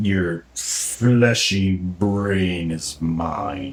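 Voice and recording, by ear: In a put-on character voice, a man growls at a very deep, low pitch.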